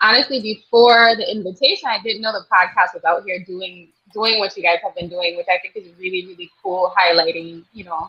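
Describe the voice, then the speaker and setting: A woman's medium-pitched voice with a Virgin Islands accent. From US Virgin Islands, St. Croix. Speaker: nurse practitioner and midwife. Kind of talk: interview.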